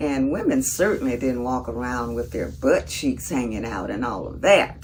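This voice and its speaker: A woman is speaking with noticeable background noise. Audible room echo surrounds her voice. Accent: Southern US. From US South, Mississippi. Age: 70s. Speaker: vlogger. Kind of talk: casual monologue.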